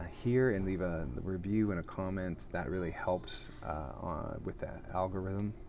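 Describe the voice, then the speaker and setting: Room echo surrounds a man speaking fairly slowly in a very deep, low voice with ordinary pitch variation. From Canada. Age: 40s. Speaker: actor and podcast host. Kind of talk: casual live chat. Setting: airport lounge. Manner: casual, with frequent fillers and restarts.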